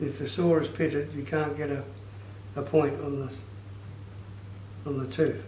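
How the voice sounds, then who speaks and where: With a dark, mellow tone and vocal fry, a man speaks at a fairly high pitch and moderate pace, leaving long, frequent pauses. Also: ordinary pitch variation. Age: 80s+. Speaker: retired joiner. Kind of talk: instructional talk, saw sharpening lesson.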